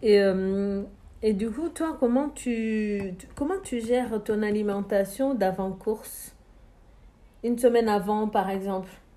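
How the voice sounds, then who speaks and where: This woman has a medium-pitched voice. Her tone is dark and mellow. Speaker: podcast host. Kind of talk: interview. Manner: hesitant, many fillers.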